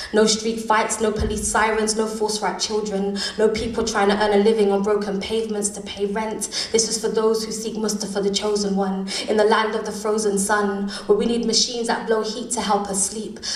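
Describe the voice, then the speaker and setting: Fairly high, monotone, flat female voice at a fairly quick pace with hardly any pauses, amid noticeable background noise. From London. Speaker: spoken word poet. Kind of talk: live spoken word poetry performance.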